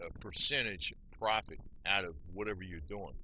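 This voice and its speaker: A man with an American accent speaks in a bright, sharp tone with vocal fry. His pitch swings very widely. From New Jersey, US. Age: 60s. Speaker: vlogger. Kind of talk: casual monologue. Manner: rambling, conversational.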